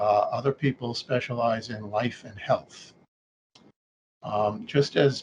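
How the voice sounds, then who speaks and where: A man speaks at a medium pitch, somewhat breathy, with fairly even intonation, big swings in loudness, a fairly slow pace and long, frequent pauses. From New York City. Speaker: actuary. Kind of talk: interview. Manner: halting, many fillers.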